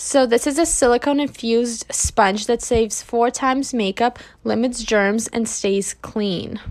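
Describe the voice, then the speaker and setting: A woman with a fairly high pitch speaks at a fairly slow pace, with hardly any pauses. Her pitch varies an ordinary amount. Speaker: beauty content creator. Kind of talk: makeup tutorial. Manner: casual, filler-heavy; whispering at one point.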